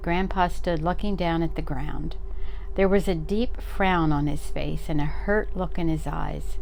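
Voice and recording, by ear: In a natural voice, the text gets read aloud.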